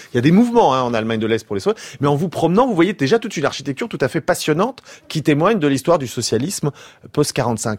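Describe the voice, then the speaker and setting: Speaking at a very fast pace, a man with a fairly high voice makes very wide pitch swings, captured with a dry, close sound and no echo. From France. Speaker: historian. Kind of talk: radio interview.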